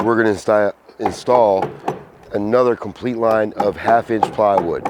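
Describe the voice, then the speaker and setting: Over noticeable background noise, a medium-pitched man talks at a moderate pace with a monotone, flat intonation. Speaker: construction contractor. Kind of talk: casual talk to camera, construction tutorial.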